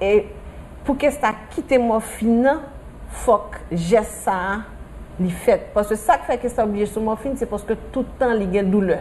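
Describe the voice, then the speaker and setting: At a fairly slow pace, a woman uses an ordinary speaking voice, fairly high in pitch with ordinary pitch variation. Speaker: patient's mother. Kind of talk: interview.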